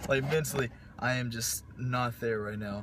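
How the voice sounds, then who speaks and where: A man talks with fairly even intonation. The sound is dry with no echo, over light background noise. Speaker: fitness vlogger. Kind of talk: casual vlog chat. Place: car. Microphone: phone near.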